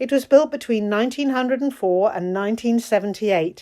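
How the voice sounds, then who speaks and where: A woman speaks in a normal speaking voice at a fairly high pitch. The recording is very clean, with a silent background. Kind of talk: documentary narration.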